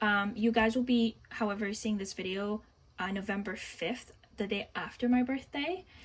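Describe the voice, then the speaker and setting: This woman talks at a moderate pace with a somewhat breathy voice. Her pitch is fairly high, with ordinary variation. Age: 20s. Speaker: budgeting vlogger. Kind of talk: casual tutorial. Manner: halting, many fillers.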